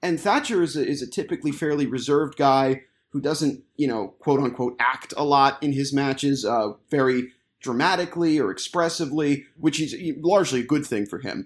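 Recorded very cleanly over a silent background, a man speaks at a moderate pace. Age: 20s. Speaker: sports commentator. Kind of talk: casual chat. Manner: halting, frequent repetitions and fillers.

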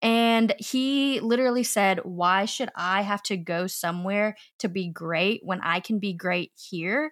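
Woman with a plain, everyday voice in an American accent, medium pitch, ordinary pitch variation, a fairly slow pace and hardly any pauses. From US South (Arkansas). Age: 20s. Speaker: podcast guest, office worker. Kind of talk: casual chat. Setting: remote video recording. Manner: giggly, upbeat.

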